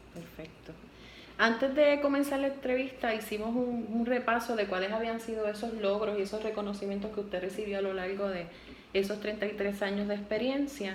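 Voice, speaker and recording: Over noticeable background noise, a woman talks at a fairly quick pace in a fairly high voice with ordinary pitch variation. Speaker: university student interviewer. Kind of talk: interview questions.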